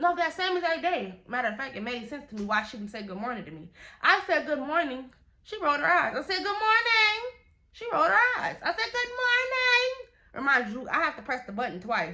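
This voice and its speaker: A woman projects a raised, high-pitched voice with a bright, sharp tone at a fairly quick pace. Her pitch swings very widely, and her loudness shifts a great deal. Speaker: YouTuber telling a story time. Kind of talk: storytime vlog.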